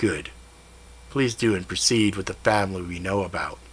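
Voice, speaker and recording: A man does a put-on character voice, raspy and fairly low in pitch, with ordinary pitch variation. He goes at a moderate pace over clear background noise. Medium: read story. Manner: cold, clipped.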